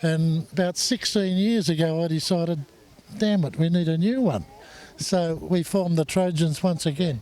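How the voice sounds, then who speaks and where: Speaking at a moderate pace with an Australian accent, a man with high pitch has a dark, mellow tone and very even loudness. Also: ordinary pitch variation. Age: 70s. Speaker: hot rod club president. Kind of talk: casual interview.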